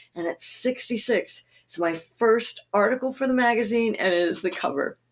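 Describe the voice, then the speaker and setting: A woman's fairly high-pitched voice with ordinary pitch variation at a moderate pace. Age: 60s. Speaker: naturalist and author. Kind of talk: interview. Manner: enthusiastic.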